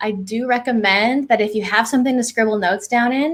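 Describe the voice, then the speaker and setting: A woman with a Californian accent speaks at a fairly quick pace. Her voice sits fairly high. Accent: Californian American. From California, US. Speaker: clinical psychologist. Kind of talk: presentation. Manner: animated.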